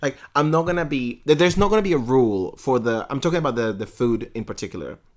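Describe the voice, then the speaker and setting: A man with a Spanish accent and medium pitch speaks at a very fast pace with very wide pitch swings, on a very clean recording with a silent background. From Venezuela. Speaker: podcast co-host. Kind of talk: casual chat. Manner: animated; halting.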